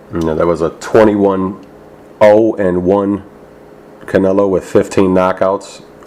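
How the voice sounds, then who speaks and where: The speech moves at a fairly slow pace with long, frequent pauses and a monotone, flat intonation. Noticeable background noise runs underneath. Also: man, very deep, low pitch for a man. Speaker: boxing interviewer. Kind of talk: interviewer questions.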